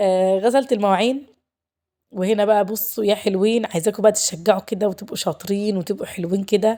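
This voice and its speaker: In a very clean recording with a silent background, a woman speaks at a moderate pace and medium pitch, her tone dark and mellow and her intonation fairly even. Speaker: lifestyle vlogger, housewife. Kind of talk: vlog narration. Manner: warm, chatty.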